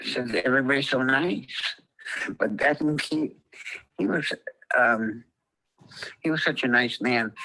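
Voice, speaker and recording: A man speaks at a medium pitch with an American accent. His tone is bright and sharp. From Montana. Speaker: interviewee. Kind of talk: interview. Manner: halting.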